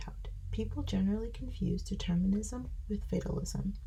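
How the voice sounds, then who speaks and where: Whispered words come through against clearly audible background noise. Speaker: ASMR creator. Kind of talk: sleep reading of nonfiction.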